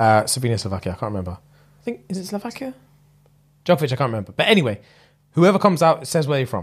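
A somewhat breathy man with a London accent, very fast pace and very wide pitch swings. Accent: London multicultural English. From UK. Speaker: comedy podcast co-host. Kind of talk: casual chat. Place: home room. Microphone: studio mic.

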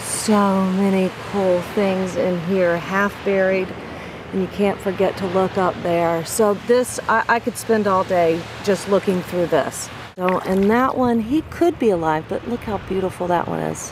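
Amid noticeable background noise, a woman speaks at a fairly slow pace with fairly even intonation, the sound dry with no echo. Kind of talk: tutorial. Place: beach. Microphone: phone near.

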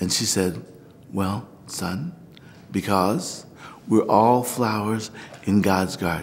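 With an American accent, a man speaks with ordinary pitch variation. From Missouri, US. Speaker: Orthodox priest. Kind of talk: documentary interview, personal story. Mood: warm, reflective, animated. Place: church.

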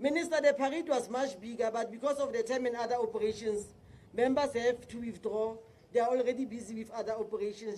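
With light background noise, a woman speaks at a fairly quick pace in a fairly high pitch and a dark, mellow tone. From South Africa. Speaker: provincial police commissioner. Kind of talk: public speech. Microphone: podium.

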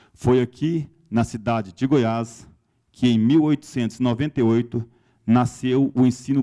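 Against a quiet background, a man speaks at a medium pitch with fairly even intonation. His tone is dark and mellow. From Brazil. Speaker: university pro-rector presiding ceremony. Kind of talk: ceremonial speech. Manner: formal. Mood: formal, warm. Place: hall. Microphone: handheld.

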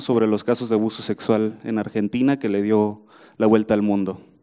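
A man's dark, mellow tone comes through over a quiet background. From Mexico. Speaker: writer and football chronicler; journalist panelist. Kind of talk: book presentation talk; panel talk at book presentation. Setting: room with audience. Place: hall. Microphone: handheld.

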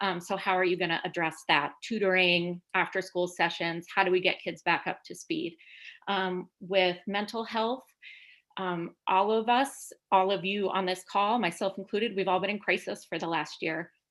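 At a moderate pace, a woman talks in an ordinary speaking voice, her medium pitch carried on fairly even intonation. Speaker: parent giving public comment. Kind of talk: public comment at board meeting. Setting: video call.

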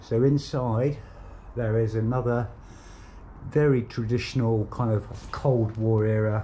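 Somewhat breathy and dark, mellow in tone, a man talks at a fairly slow pace with fairly even intonation over light background noise. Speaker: urban explorer narrator. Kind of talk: casual vlog commentary. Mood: curious, speculative. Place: street. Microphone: phone near.

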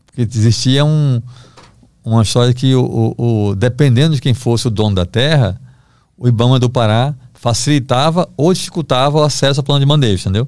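At a fairly quick pace, a man speaks with very even loudness and ordinary pitch variation, the sound dry with no echo and the background quiet. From Brazil, Recife (Pernambuco); Pernambuco, Brazil. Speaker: investigative journalist. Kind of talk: podcast interview, storytelling. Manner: casual, halting with repetitions. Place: studio. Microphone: studio mic.

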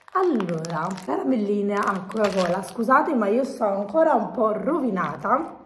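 There is noticeable background noise behind the speaker. A woman's voice swings very widely in pitch. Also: medium pitch for a woman, moderate pace. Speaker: vlogger. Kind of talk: casual chat. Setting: shopping mall. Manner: animated.

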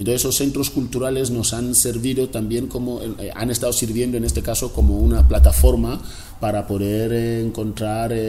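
A man speaking at a moderate pace with ordinary pitch variation over light background noise. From Equatorial Guinea, Río Muni interior (Fang region). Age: 40s. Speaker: cartoonist and former political prisoner. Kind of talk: interview. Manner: halting, with many repetitions. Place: home room.

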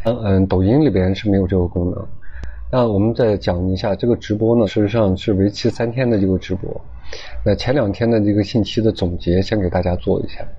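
A man's fairly low voice, with fairly even intonation and a fairly quick pace. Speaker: lecturer. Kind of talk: lecture. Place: classroom. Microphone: lapel.

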